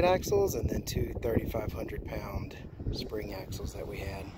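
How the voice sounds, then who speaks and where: A man speaks at a very slow pace. The sound is dry with no echo, over noticeable background noise. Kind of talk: casual vlog chat. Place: open country. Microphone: phone near.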